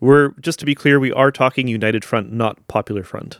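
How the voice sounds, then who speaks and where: Dry and close with no echo, a man with a Canadian Prairie accent speaks at medium pitch and a moderate pace, his intonation fairly even. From southern Manitoba, Canada. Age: 40s. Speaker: podcaster. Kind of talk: solo commentary podcast. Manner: hesitant, many fillers.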